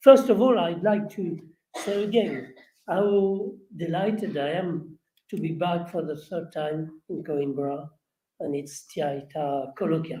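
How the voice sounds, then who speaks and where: A man with a French accent talks at a fairly slow pace in a high pitch, with ordinary pitch variation and a dark, mellow tone. Audible room echo surrounds his voice. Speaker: historian. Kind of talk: lecture. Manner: halting.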